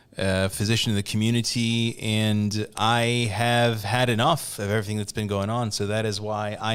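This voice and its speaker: A man with an American accent talks at a moderate pace in a fairly low pitch, his intonation fairly even, in a very clean recording with a silent background. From US West Coast, Glendale, California. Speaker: physician and congressional candidate. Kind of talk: podcast interview. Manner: calm.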